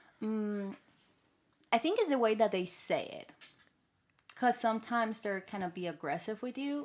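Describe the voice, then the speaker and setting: In a strong Colombian accent, a woman speaks at a moderate pace with lively intonation. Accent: heavy Colombian Spanish. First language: Spanish. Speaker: podcast co-host. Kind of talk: casual chat.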